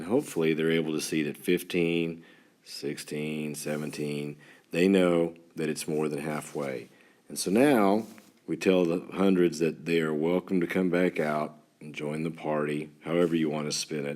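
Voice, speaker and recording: A man with a West Texas accent, very deep and low in pitch, fairly even in intonation, at a moderate pace. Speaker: third grade teacher. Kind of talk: tutorial. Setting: screen recording with stylus. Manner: halting, some stammers; teacher-like, talking to students.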